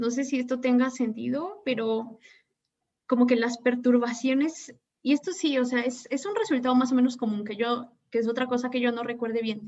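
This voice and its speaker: Her pitch is high for a woman. The woman's voice rises and falls in an ordinary way. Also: moderate pace. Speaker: physics graduate student. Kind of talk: academic Q&A. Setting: video call.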